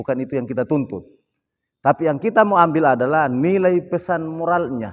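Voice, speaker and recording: A man with an unremarkable speaking voice talks at a fairly quick pace, his fairly high pitch carried by lively intonation. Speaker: cultural expert. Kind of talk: podcast interview.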